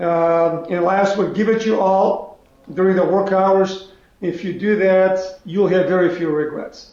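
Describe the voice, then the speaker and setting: The speech moves at a fairly slow pace in a monotone, flat intonation, with audible room echo. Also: man, high pitch for a man. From North Macedonia (Skopje). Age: 70s. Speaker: business executive. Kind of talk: interview. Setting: video call.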